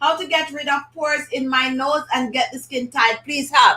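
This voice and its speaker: Over noticeable background noise, a woman with a Jamaican accent uses a raised, projected voice, high in pitch with ordinary pitch variation, at a moderate pace. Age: 50s. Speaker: beauty channel host. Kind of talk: live stream chat. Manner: casual, conversational.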